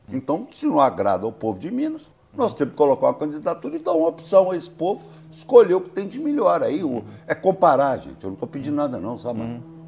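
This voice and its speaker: At a very fast pace, a man with a fairly high pitch and vocal fry swings widely in both pitch and loudness. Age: 60s. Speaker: politician, gubernatorial candidate. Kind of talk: interview answer. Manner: blunt, informal.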